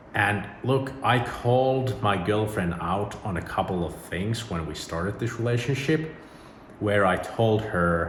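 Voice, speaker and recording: Delivered at a fairly slow pace with a Finnish accent, the speech has ordinary pitch variation, audible room echo and noticeable background noise. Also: man. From Finland. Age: 30s. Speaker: YouTuber. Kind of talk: personal vlog monologue. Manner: casual.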